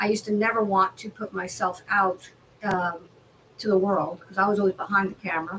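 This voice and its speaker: Using an ordinary speaking voice, a woman talks at a fairly quick pace with a medium pitch. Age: 60s. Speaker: hypnotherapist. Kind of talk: casual chat.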